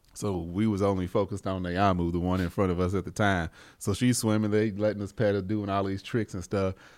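Delivered at a fairly quick pace, the speech is monotone and flat in intonation, on a very clean recording with a silent background. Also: man. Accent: American. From US. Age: 40s. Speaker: podcast host. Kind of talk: casual chat.

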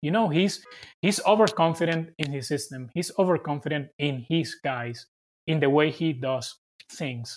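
With a Venezuelan accent, a man talks at a fairly high pitch with ordinary pitch variation. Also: moderate pace. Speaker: sports reporter and TV producer. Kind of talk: casual interview. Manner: halting.

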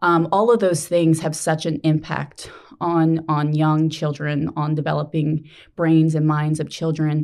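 A woman's very deep, low voice with an American accent, monotone and flat, in a very clean recording with a silent background. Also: fairly slow pace. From New Jersey. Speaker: nonprofit executive director. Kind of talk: interview.

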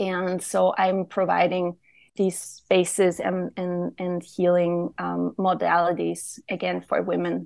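Over a quiet background, a woman with a German accent speaks at a very slow pace. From Austria. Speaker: womb healer and trainer. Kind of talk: interview.

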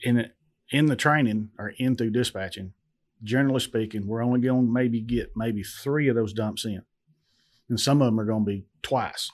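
In a very clean recording with a silent background, a man with a Southern US accent speaks at a moderate pace. His pitch is medium and his intonation fairly even. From western Tennessee. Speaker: owner-operator truck driver. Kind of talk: casual interview. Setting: studio.

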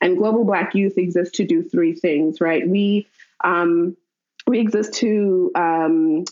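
A woman talks at a very slow pace, her loudness very even throughout. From Mozambique, raised abroad (UK, South Africa, Senegal). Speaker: nonprofit co-founder and foundation program officer. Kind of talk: casual interview.

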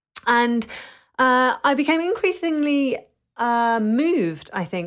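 In a very clean recording with a silent background, a woman talks with a London accent. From London, England. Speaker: food writer. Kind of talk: interview. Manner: hesitant, many fillers.

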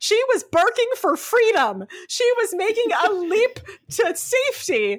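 With noticeable background noise behind her, a woman at an extremely high pitch speaks at a fairly slow pace with lively intonation and very even loudness. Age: 30s. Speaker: podcast host. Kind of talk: casual chat. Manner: animated.

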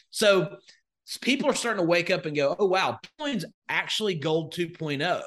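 This man's voice sits high, moving at a fairly quick pace. His intonation is lively, and the background is quiet. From Northwest Alabama. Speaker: crypto investor and educator. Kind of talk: casual interview chat.

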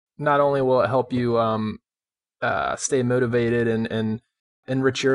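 In a flat monotone, a man speaks at a medium pitch. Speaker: podcast host. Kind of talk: interview, scripted intro.

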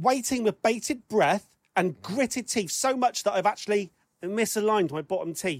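The speaker has an English accent and a moderate pace. The recording is very clean with a silent background. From England. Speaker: podcast host. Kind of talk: casual chat.

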